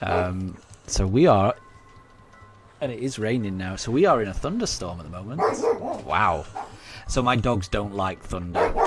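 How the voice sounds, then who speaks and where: A man mumbling at a moderate pace, fairly low in pitch with ordinary pitch variation, with audible room echo and music in the background. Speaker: video game streamer. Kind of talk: casual live-stream chat. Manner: halting, many fillers.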